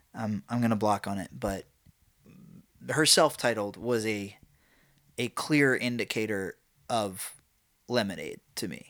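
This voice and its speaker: A man talks with an American accent and ordinary pitch variation, leaving long, frequent pauses. The recording is very clean, with a silent background. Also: fairly low pitch for a man, fairly slow pace. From New York. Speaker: musician. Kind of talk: casual chat. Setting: home room. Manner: halting, filler-heavy.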